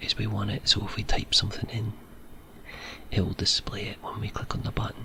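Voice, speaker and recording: Someone whispers at a moderate pace in a Scottish accent, with noticeable background noise behind the voice. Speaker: ASMR creator. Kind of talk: ASMR programming tutorial. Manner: soft-spoken.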